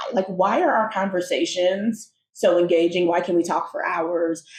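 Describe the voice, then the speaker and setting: With an American accent, a woman talks in a normal speaking voice at a fairly slow pace, medium pitch, and ordinary pitch variation. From United States. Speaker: podcast co-host. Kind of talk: casual conversation.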